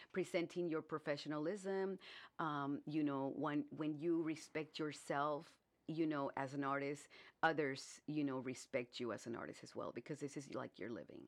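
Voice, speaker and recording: A woman with an American accent speaks at a moderate pace in a very deep, low voice with ordinary pitch variation. The background is quiet. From US South, Brownsville, Texas on the Mexican border. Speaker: artist. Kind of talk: radio interview. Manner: halting, many fillers.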